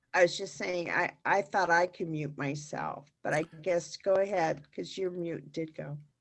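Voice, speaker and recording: Here a woman has an ordinary speaking voice, fairly low in pitch with fairly even intonation. She goes at a fairly slow pace with hardly any pauses. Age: 60s. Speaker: workshop participant. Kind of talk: personal sharing.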